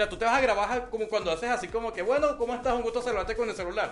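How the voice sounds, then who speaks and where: A man's extremely high voice at a very fast pace with fairly even intonation, amid noticeable background noise. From Venezuela. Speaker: online English teacher. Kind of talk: casual interview chat.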